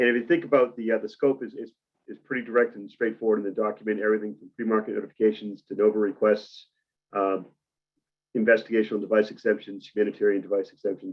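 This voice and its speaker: A man with a Boston accent talks at a very fast pace and fairly low pitch, with fairly even intonation and big swings in loudness. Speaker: medical device cybersecurity presenter. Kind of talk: webinar presentation. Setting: webinar with camera off.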